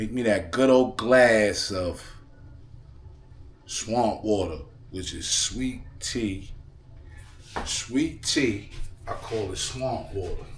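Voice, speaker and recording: A somewhat breathy man talks in a relaxed tone at a very slow pace, with long, frequent pauses. Room echo is audible. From New York. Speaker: lifestyle vlogger and DJ. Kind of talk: casual cooking vlog. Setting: home kitchen. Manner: relaxed, repetitive.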